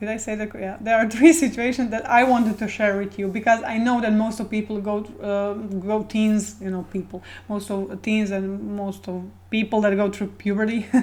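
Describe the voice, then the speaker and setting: With a Croatian accent, a woman speaks at a moderate pace in a fairly high pitch, her intonation flat and monotone. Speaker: video blogger. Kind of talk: casual personal talk to camera. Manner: halting, many fillers and repetitions.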